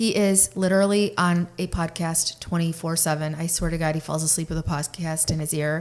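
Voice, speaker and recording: A woman talks at a fairly quick pace with hardly any pauses. Her fairly low voice stays monotone and flat. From Russian-speaking family, moved to US at age six. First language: Russian. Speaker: podcast co-host. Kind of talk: casual chat.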